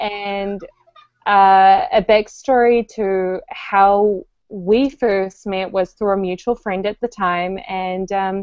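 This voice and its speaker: In a New Zealand accent, a woman speaks very slowly at a medium pitch with monotone, flat intonation. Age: 20s. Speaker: podcast co-host. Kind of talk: casual chat. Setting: video call.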